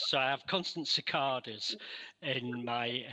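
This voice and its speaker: With a Mancunian accent, a man speaks at a medium pitch in a bright, sharp tone. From Manchester, northern England. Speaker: researcher. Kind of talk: interview. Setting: video call.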